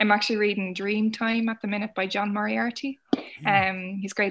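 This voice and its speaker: A woman with an Irish accent, bright and sharp in tone, with fairly even intonation. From Ireland. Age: 20s. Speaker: novelist. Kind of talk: casual chat. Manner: hesitant, with frequent fillers.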